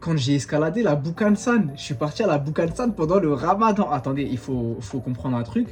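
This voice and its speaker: A man's fairly high voice with very wide pitch swings, moderate pace and hardly any pauses, over noticeable background noise. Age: 20s. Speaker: vlogger, exchange student. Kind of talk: casual talk to camera.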